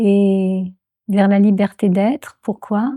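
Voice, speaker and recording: On a very clean recording with a silent background, a woman speaks at a medium pitch in a dark, mellow, somewhat breathy tone with monotone, flat intonation. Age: 70s. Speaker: transpersonal psychology trainer. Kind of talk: interview answer.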